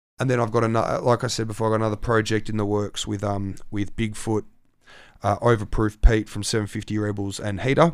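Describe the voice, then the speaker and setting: Talking at a very fast pace in a monotone, flat delivery, a man with an Australian accent and a fairly low pitch is heard in a very clean recording with a silent background. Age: young. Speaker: turntablist DJ. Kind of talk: casual chat.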